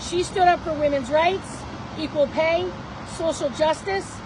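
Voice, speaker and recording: Loud and extremely high-pitched, a woman with an American accent speaks at a moderate pace over noticeable background noise. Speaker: political candidate and business owner. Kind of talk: rally speech.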